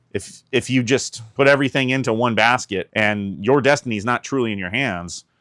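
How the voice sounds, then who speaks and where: A man talks in an unremarkable speaking voice at a medium pitch with ordinary pitch variation. The very clean recording has a silent background and a dry, close sound with no echo. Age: 40s. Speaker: YouTube content creator. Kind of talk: personal vlog monologue. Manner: casual, conversational.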